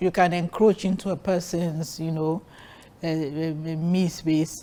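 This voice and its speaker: A woman with a Nigerian accent speaks at a fairly slow pace in a fairly low voice with a dark, mellow tone. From Nigeria, Warri. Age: 60s. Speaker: guest sharing her marriage story. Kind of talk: interview. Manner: animated.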